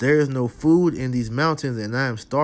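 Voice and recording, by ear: A passage is read aloud in a natural voice, the pitch rising and falling in an ordinary way.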